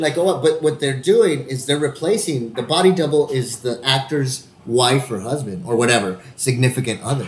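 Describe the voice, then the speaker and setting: Somewhat breathy and medium-pitched, a man with an American accent speaks at a moderate pace with ordinary pitch variation and hardly any pauses. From Texas, El Paso. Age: 40s. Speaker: actor, podcast co-host. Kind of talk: casual chat.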